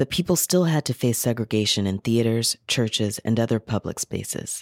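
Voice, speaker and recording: On a very clean recording with a silent background, a man in a plain, everyday voice speaks at a moderate pace and medium pitch, dry and close with no echo. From US South (Carolinas). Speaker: radio host. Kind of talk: scripted narration and introductions. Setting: radio studio.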